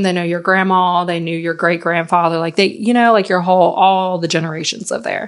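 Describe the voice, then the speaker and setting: With a slight Southern US accent, a woman with a fairly low pitch talks at a fairly quick pace in an animated, enthusiastic tone against a quiet background. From Virginia, US. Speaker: intuitive life coach and podcast host. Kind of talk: solo podcast monologue, personal storytelling. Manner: animated, enthusiastic, chatty.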